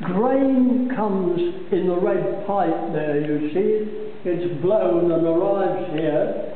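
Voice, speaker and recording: Strong room echo and light background noise surround a man as he speaks. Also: ordinary pitch variation. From Scotland. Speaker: brewery tour guide. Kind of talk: guided tour explanation. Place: factory. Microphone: phone near.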